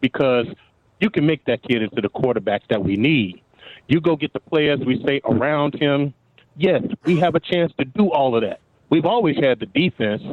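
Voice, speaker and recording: A plain, everyday voice from a man, fairly high in pitch, lively in intonation, very even in loudness, at a moderate pace. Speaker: radio caller. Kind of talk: call-in chat. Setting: phone call.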